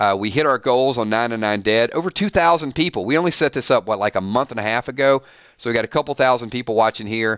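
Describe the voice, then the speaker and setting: Here a man speaks with a Georgia accent at a very fast pace. His pitch is medium, with ordinary variation. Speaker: YouTube live streamer, TV show commentator. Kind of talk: live stream chat.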